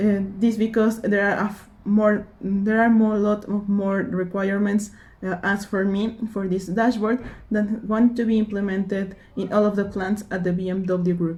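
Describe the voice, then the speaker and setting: A somewhat breathy woman speaks at a moderate pace in a monotone, flat intonation. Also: medium pitch for a woman. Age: 20s. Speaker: engineering student and intern. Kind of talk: application video self-introduction. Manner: halting, with fillers.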